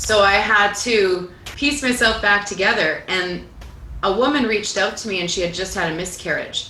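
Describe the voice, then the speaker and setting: A Canadian accent at a moderate pace, with ordinary pitch variation, audible room echo and noticeable background noise. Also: woman, medium pitch for a woman. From Canada, Italian Canadian family. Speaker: singer-songwriter. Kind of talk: interview conversation. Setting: livestream from a clubhouse.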